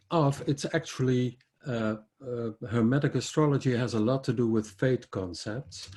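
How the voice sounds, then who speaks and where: Speaking with a Dutch accent, a man is somewhat breathy, medium in pitch with ordinary pitch variation, and fairly slow in pace. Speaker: astrologer. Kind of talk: lecture. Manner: halting.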